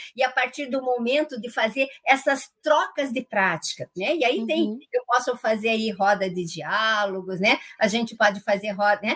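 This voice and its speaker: An unremarkable speaking voice from a woman, fairly high in pitch, at a moderate pace. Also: ordinary pitch variation, hardly any pauses. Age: 60s. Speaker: organizational management consultant and coach. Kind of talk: live radio interview. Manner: frequent fillers and tag questions.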